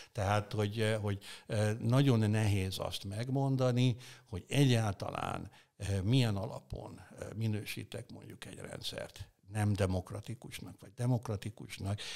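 Against a quiet background, a man talks at a fairly slow pace with fairly low pitch and fairly even intonation. His loudness swings widely. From Hungary. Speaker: political philosopher; interview guest. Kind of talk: interview. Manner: halting. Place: studio. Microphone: studio mic.

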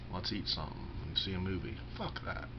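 A man's very deep, low voice at a fairly quick pace, over noticeable background noise. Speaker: vlogger. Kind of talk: casual monologue vlog. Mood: self-deprecating, candid. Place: home room. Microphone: webcam.

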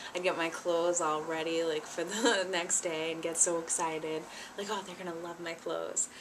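Noticeable background noise runs under a woman's voice. She talks at a moderate pace with a fairly low pitch. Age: 20s. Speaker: vlogger. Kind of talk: casual vlog talk to camera; casual vlog chat. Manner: animated. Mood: cheerful, nostalgic. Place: home room. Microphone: webcam.

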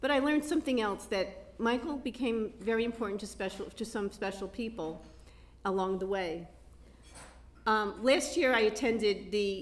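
A woman is speaking at a moderate pace. Her pitch varies in an ordinary way. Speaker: event host. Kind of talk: introduction speech. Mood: warm, amused. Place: hall. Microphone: handheld.

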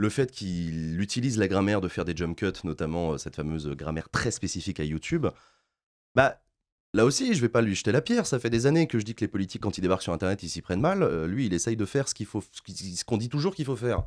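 A man talks at a very fast pace with lively intonation. His pitch is fairly low, and the background is quiet. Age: 30s. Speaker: political streamer. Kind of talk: interview. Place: studio. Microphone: studio mic.

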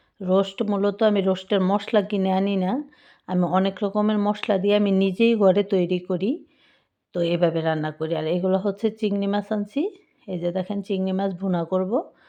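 Over a quiet background, a voice with a dark, mellow tone speaks with fairly even intonation. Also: woman. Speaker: YouTube cooking vlogger. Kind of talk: cooking tutorial voiceover. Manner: casual, informal.

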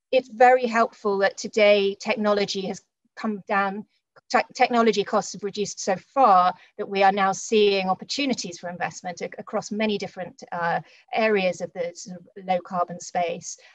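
A woman talks at a moderate pace with fairly even intonation. Her loudness swings widely over a quiet background. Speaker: investment strategist; panelist. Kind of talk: panel discussion. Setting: video call. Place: home room. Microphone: webcam.

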